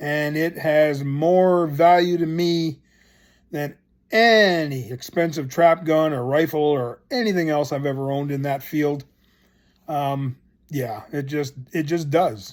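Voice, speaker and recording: A man with a plain, everyday voice speaks at a fairly slow pace and a fairly high pitch with ordinary variation. The recording is very clean, with a silent background. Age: 60s. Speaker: gun collector. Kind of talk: casual show-and-tell video.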